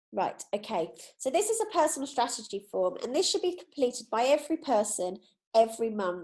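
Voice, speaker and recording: A woman talks at a fairly quick pace with lively intonation. Her tone is dark and mellow, with vocal fry. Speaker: direct sales district manager, training trainer. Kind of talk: training presentation. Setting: video call.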